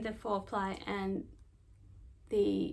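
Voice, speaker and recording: A woman speaks with an Australian accent. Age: 40s. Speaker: knitting podcaster. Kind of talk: casual chat. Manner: casual, hesitant with fillers.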